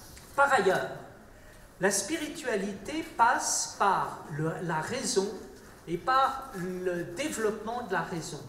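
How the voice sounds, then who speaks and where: Amid noticeable background noise and audible room echo, a man speaks very slowly in a raised, projected voice, high-pitched, with lively intonation and big swings in loudness. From France. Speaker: round table panelist. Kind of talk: panel talk.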